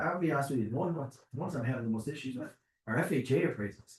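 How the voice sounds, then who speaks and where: The man's voice sounds somewhat breathy. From Chicago, US Midwest. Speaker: mortgage lender. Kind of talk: presentation to realtors. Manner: fast.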